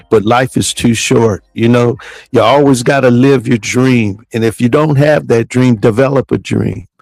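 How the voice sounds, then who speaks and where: A man with a normal speaking voice talks at a moderate pace and medium pitch, with fairly even intonation and very even loudness, in a dry, close sound with no echo. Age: 60s. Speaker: podcast host, horse racing handicapper. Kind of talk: casual chat.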